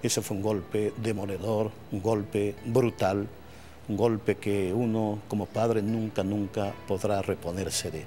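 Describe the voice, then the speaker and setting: Faint music sits in the background as a man speaks in a flat monotone. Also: fairly low pitch for a man, fairly slow pace. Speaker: baseball play-by-play announcer. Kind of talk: interview answer. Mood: reflective, emotional at times. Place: stadium. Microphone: lapel.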